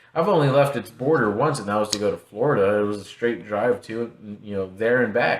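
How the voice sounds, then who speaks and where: In a normal speaking voice, a man with an American accent talks at a fairly quick pace with ordinary pitch variation. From Texas. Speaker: podcast host. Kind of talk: casual chat.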